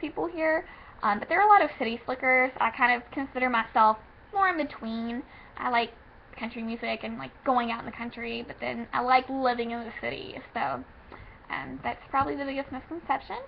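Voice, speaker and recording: With a Kentucky accent, a woman speaks fairly quickly in a high pitch and lively intonation, with big swings in loudness and noticeable background noise. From Kentucky, Owensboro. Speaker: vlogger. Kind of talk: casual vlog monologue. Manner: frequent filler ums.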